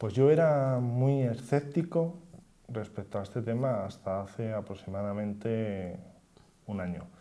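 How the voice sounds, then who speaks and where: The man's tone is dark and mellow, with lively intonation. He talks at a fairly slow pace. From Spain, Cantabria (Torrelavega); Cantabria, Spain. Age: 30s. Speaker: local politician, deputy mayor. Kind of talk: TV interview. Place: studio. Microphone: lapel.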